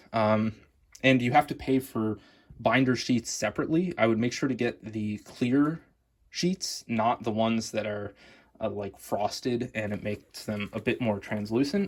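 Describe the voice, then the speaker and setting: A man with an American accent has a normal speaking voice at a medium pitch, with ordinary pitch variation. He speaks at a moderate pace in a very clean recording with a silent background. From United States. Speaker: card collecting youtuber. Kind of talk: product review. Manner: casual, with filler words.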